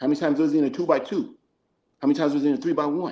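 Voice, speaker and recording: Ordinary pitch variation shapes this dark, mellow tone. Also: man. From New Mexico. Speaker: football coach. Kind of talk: casual chat. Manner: fast.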